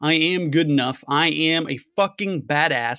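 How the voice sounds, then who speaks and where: An energetic man in a very clean recording with a silent background and a dry, close sound with no echo. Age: 30s. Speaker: podcast host, online entrepreneur. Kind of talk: motivational monologue.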